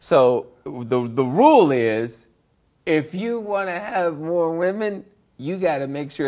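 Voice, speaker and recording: A man with an American accent speaks in an animated tone with lively intonation. The background is quiet. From Detroit, Michigan. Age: 40s. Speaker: actor and comedian. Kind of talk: casual interview.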